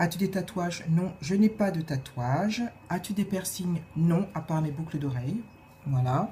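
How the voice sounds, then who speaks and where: A woman's somewhat breathy voice, dark and mellow in tone, moves at a fairly slow pace with ordinary pitch variation. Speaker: video blogger. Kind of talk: casual vlog Q&A tag. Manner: hesitant, many filler sounds.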